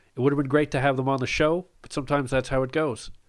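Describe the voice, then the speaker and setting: In a Canadian accent, a man talks at a medium pitch on a very clean recording with a silent background. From Ottawa, Canada. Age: 30s. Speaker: podcast host, newsletter editor. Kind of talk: interview; scripted intro.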